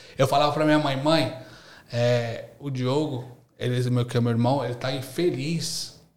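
The intonation stays fairly even at a fairly slow pace. Audible room echo colors the recording. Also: man, medium pitch for a man. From São Paulo city, East Zone, Brazil. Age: 30s. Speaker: university lecturer and entrepreneur. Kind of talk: casual interview chat.

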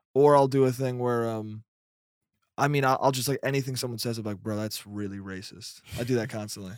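A man talks fairly quickly at a medium pitch, keeping his intonation fairly even. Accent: American. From Westchester, New York. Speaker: stand-up comedian. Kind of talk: casual chat. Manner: fast; mumbling.

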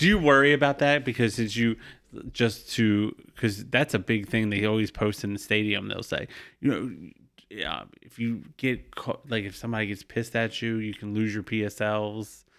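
At a moderate pace, a man with a plain, everyday voice and an American accent speaks at a medium pitch with fairly even intonation. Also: very clean recording, silent background. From US, Baltimore. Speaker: podcast co-host. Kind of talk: casual chat.

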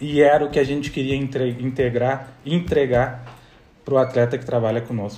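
A man speaks at a medium pitch and a moderate pace, his tone dark and mellow. His voice is somewhat breathy, with fairly even intonation. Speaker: athletic trainer and former footballer. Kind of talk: casual interview.

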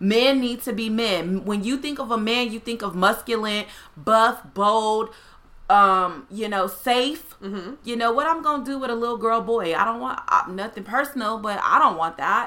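A woman's fairly high pitch with ordinary pitch variation at a moderate pace. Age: 30s. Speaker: plus-size fashion influencer. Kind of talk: casual chat.

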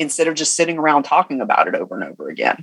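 A man speaks with a Southern US accent, the sound dry and close with no echo. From US South, Georgia. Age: 40s. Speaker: business coach. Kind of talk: interview. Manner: animated.

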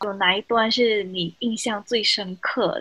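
Speaking at a very slow pace, a woman with a Malaysian accent has a fairly high pitch and ordinary pitch variation. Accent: Malaysian Chinese Mandarin. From Malaysia, Johor. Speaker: podcast host. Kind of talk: casual chat.

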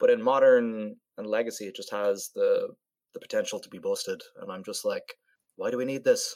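Big swings in loudness mark this man's speech, delivered at a fairly quick pace. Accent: Irish. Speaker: podcast co-host. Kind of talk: casual chat.

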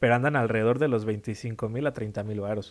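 At a fairly quick pace, a man talks in a Mexican accent. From Mexico. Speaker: video game podcast co-host. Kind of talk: casual chat.

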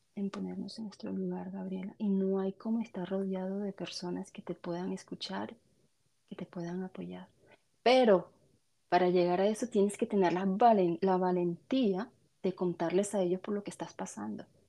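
Over a quiet background, a woman with a dark, mellow tone and medium pitch talks at a moderate pace, her intonation fairly even but her loudness swinging widely. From Colombia. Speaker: podcast guest sharing postpartum depression experience. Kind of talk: testimony. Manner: halting.

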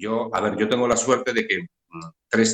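The recording of a man at a moderate pace has a dry, close sound with no echo. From Galicia, Spain (Redondela). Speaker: painter. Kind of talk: interview. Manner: halting.

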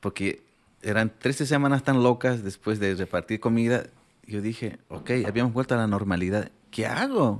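With a medium pitch and fairly even intonation, a man talks at a moderate speed. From Bolivia, rural La Paz (Pacajes). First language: Aymara (speaking Spanish). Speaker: chef. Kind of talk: interview storytelling.

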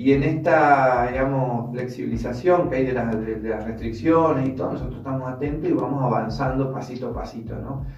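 A man speaks at a medium pitch and a fairly quick pace, with fairly even intonation and hardly any pauses. Noticeable background noise and audible room echo are present. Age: 40s. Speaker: former municipal official, senior citizens' activities organizer. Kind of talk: radio interview. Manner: halting, with many repetitions.

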